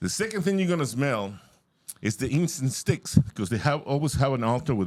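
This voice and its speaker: A man in a Spanish accent talks at a moderate pace with lively intonation. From Mexico. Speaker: comedian. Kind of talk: stand-up.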